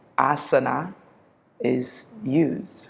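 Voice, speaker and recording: A woman speaks in a calm, gentle tone. Vocal fry runs through her voice. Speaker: yoga teacher. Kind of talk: guided yoga class instruction.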